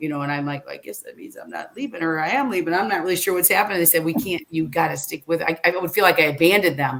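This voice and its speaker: With a Midwestern US accent, the speaker talks with hardly any pauses, lively intonation and big swings in loudness. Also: woman, fairly low pitch for a woman. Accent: US Midwest. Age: 60s. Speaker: former reality show contestant and motivational speaker. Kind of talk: casual interview chat. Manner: hesitant, many fillers and restarts.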